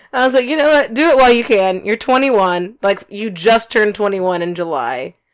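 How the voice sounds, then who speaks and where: Her intonation lively and her pace moderate, a woman speaks at a medium pitch in an unremarkable speaking voice. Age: 20s. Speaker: podcast co-host. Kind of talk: casual chat.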